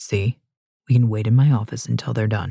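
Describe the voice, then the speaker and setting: Putting on a character voice, a man speaks at a medium pitch. His pace is fairly quick and his intonation fairly even. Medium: read story. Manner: calm, authoritative.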